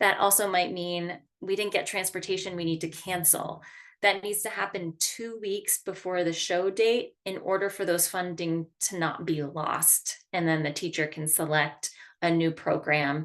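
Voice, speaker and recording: Against a quiet background, a woman with a plain, everyday voice speaks at a moderate pace in a medium pitch with fairly even intonation. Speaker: arts education program coordinator. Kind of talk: online staff training meeting.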